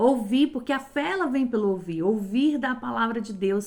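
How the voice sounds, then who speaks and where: Animated in tone, a woman speaks at a fairly slow pace in a fairly high pitch with lively intonation. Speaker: lay preacher. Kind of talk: sermon.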